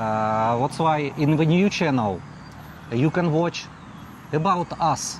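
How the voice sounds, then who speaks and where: Lively intonation comes through at a very slow pace with very even loudness. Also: man, fairly high pitch for a man. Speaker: vlogger. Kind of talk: casual chat. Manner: halting, broken English with fillers.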